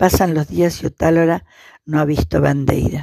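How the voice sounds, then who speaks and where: At a fairly slow pace, a woman speaks with a dark, mellow tone and a very deep, low pitch. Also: dry, close sound with no echo. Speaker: narrator reading aloud. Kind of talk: literary audiobook reading of a short story, narrated in third person. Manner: measured, formal, even-paced narration with a dry, understated tone.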